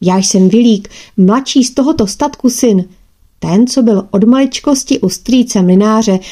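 The unforced reading voice shows ordinary pitch variation.

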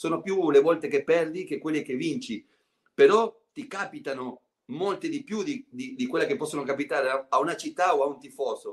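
In a Spanish accent, a man speaks in a high voice with very wide pitch swings. The background is quiet. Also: moderate pace. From Argentina. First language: Spanish (speaking Italian). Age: 50s. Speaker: former basketball player and TV commentator; guest. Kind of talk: casual interview. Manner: halting, many repetitions. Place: home room. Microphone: video call.

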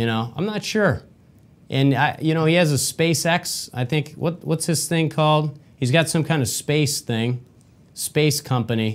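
A man with an American accent, fairly slow in pace, with ordinary pitch variation. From Michigan, US. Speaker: podcast host. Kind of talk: solo commentary monologue. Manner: animated, repetitive. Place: studio.

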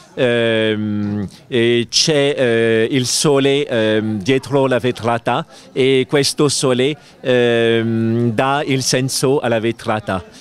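Here a man talks at a very slow pace and a medium pitch. His loudness stays very even, and the sound is dry with no echo. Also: fairly even intonation. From France. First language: French (speaking Italian). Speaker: spiritual teacher; interviewed yoga teacher at congress. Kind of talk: interview. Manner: halting. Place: garden. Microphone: handheld.

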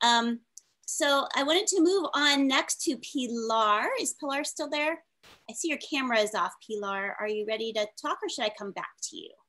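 A woman's raised, projected voice, high in pitch, with a bright, sharp tone and lively intonation over a quiet background. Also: moderate pace. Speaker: panel moderator. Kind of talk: online panel discussion. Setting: video call. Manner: animated. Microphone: video call.

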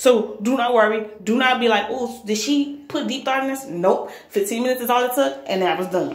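A woman talks at a moderate pace. Audible room echo surrounds her voice. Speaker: vlogger. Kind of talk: casual vlog chat. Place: bathroom. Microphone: phone near.

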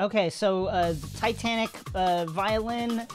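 Clear music plays in the background as a woman speaks. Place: home room.

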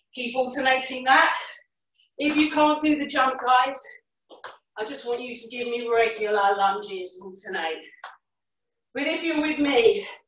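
A woman with a high pitch talks with long, frequent pauses, audible room echo and light background noise around her. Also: big swings in loudness. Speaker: fitness instructor. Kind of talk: workout class instruction. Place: home room.

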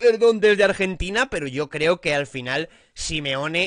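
Lively intonation from a man, in a dry sound with no echo. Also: quiet background. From Spain. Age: 30s. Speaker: football youtuber. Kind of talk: casual commentary vlog. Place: home room. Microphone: studio mic.

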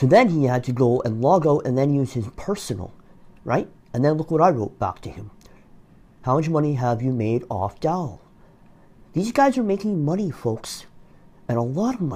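Delivery moves at a moderate pace, broken by long, frequent pauses. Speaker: commenter exposing an online dispute. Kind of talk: casual commentary. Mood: accusatory, indignant. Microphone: phone near.

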